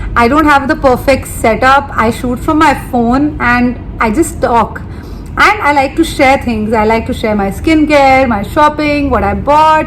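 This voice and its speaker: Noticeable background noise sits behind a woman speaking at a fairly slow pace. Her pitch is high, with ordinary variation. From India, Delhi. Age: 30s. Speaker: beauty and lifestyle vlogger. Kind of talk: casual vlog talk to camera. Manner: chatty, talks at length unplanned.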